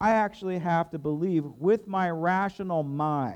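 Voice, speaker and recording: Against a quiet background, a man with a plain, everyday voice talks at a fairly slow pace with ordinary pitch variation. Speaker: pastor. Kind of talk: sermon. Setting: church.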